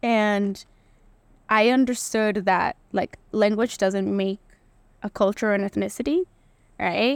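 A woman with a Spanish accent at medium pitch, fairly even intonation and a very slow pace, in a very clean, dry, close recording with no echo and a silent background. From Latin America. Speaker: policy institute director. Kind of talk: casual chat.

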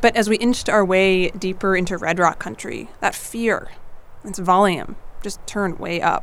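A woman with an American accent talks at a moderate pace in a medium pitch. Hers is an unremarkable speaking voice. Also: fairly even intonation. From US Midwest, Missouri. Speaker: audio storyteller. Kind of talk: scripted narration.

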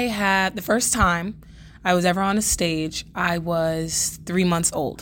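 This woman talks with an American accent and fairly even intonation. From New York City (Bronx). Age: young. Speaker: acting student. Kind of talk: casual interview.

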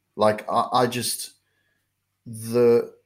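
Here a man with an Australian accent speaks at a medium pitch. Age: 30s. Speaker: motivational life coach. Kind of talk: interview, personal story.

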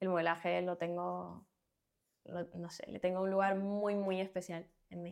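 Fairly slow speech with long, frequent pauses and big swings in loudness. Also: woman. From Cuba. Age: 20s. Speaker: fashion model. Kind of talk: casual interview.

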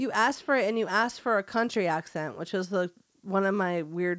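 The voice uses plain reading aloud with ordinary pitch variation.

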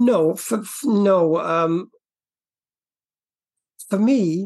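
Speaking at a very slow pace, a man uses a high pitch with vocal fry. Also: ordinary pitch variation, slightly mellow tone.

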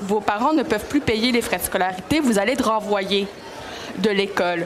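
There is noticeable background noise and audible room echo. A woman speaks at a moderate pace in a fairly high pitch. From Montreal, Quebec (Greek family). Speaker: literature professor, author. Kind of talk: panel discussion. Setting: book fair stage.

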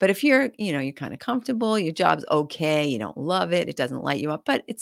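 A woman with an American accent speaks at a fairly low pitch, with very wide pitch swings and vocal fry. The recording is very clean and dry, close with no echo and a silent background. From New Hampshire, US. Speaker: real estate investor and coach. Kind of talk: interview. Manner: animated.

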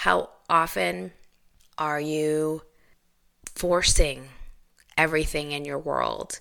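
A woman's voice sits at a very deep, low pitch and has a bright, sharp tone. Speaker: podcast host and licensed therapist. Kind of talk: casual solo monologue. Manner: unscripted, conversational.

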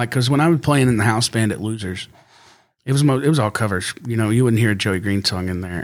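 A man with an American accent has an ordinary speaking voice, fairly low with ordinary pitch variation. The recording is very clean, with a silent background. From Fort Worth, Texas. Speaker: musician. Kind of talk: casual chat.

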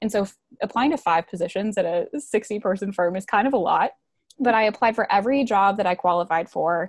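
In a quiet background, a woman with an ordinary speaking voice talks at a fairly quick pace and medium pitch with ordinary pitch variation. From US Midwest, Wisconsin near Milwaukee. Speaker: marketing and PR professional. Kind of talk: interview.

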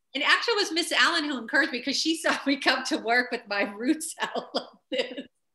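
A woman speaks very fast in a high, raised, projected voice with a bright, sharp tone. Her intonation is lively. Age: 50s. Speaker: choreographer and publicist. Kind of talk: interview.

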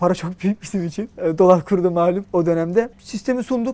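A man with a high pitch talks at a fairly quick pace with ordinary pitch variation over noticeable background noise. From Turkey, Istanbul. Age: 30s. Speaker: tech startup founder. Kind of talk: interview.

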